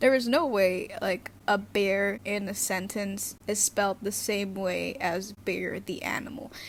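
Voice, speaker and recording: A woman with vocal fry speaks with hardly any pauses and ordinary pitch variation. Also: medium pitch for a woman, fairly slow pace. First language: Indonesian. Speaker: youtuber. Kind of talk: casual vlog talk. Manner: halting, many fillers.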